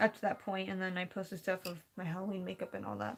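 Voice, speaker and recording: Over music in the background, a woman with an American accent speaks at a very fast pace at a medium pitch. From California. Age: young. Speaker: live streamer. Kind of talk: casual chat. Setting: live stream. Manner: fast, halting.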